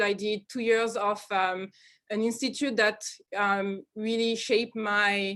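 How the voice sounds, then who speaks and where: A woman with a French accent speaks in a fairly high pitch with fairly even intonation against a quiet background. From France, Normandy (Caen). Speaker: research scientist. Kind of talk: seminar talk. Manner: halting, many fillers.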